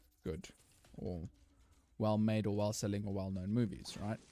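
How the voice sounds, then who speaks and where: A man speaks with a South African accent while music plays in the background. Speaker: gaming YouTuber. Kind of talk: casual gameplay commentary.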